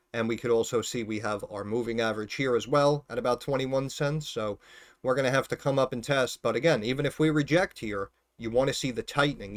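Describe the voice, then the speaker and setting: A man mumbles at a fairly quick pace with ordinary pitch variation. The recording is very clean with a silent background. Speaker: stock market YouTuber, former financial advisor. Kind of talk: casual stock analysis video. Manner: mumbling; informal, filler-heavy.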